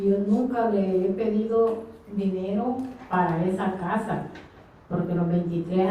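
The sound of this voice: Soft-spoken, a woman talks with fairly even intonation amid strong room echo.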